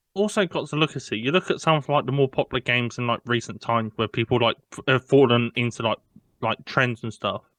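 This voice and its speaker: Heard in a dry, close sound with no echo, a man at medium pitch speaks at a very fast pace with ordinary pitch variation. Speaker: podcast co-host. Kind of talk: casual chat.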